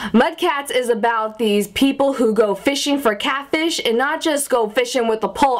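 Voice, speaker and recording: Speaking with an American accent, a woman uses a high pitch and an animated tone. Her intonation is lively and her pace fairly slow. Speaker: vlogger. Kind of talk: casual vlog monologue. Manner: animated, chatty. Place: home room. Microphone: phone near.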